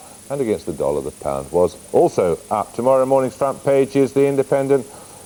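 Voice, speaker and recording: A man talks at a fairly quick pace. Noticeable background noise runs under his speech. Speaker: news presenter and interviewer. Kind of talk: TV news interviewer and presenter.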